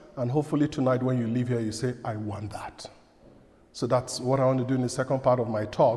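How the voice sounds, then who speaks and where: A man talks at a fairly quick pace with fairly even intonation and a medium pitch. His is an unremarkable speaking voice. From outside Canada, from a direct-speaking culture. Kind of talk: parish talk.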